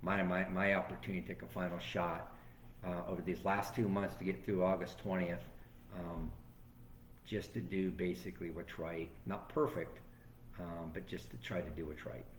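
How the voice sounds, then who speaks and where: With vocal fry and a very deep, low pitch, a man speaks at a moderate pace, and audible room echo surrounds him. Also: ordinary pitch variation. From Florida, Venice area. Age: 60s. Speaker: former sheriff and political candidate. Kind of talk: interview.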